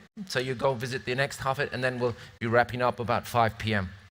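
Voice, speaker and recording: A man with a British accent rattles along at a very fast pace. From northern England, near Scottish border. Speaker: event moderator. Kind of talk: conference moderation. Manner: hesitant, with fillers and repetitions.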